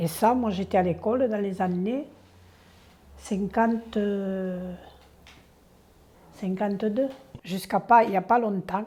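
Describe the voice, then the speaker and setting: A woman at a very slow pace with long, frequent pauses and fairly even intonation. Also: medium pitch for a woman. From southern France, Aude. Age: 70s. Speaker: elderly villager sharing memories. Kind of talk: oral history interview. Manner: halting.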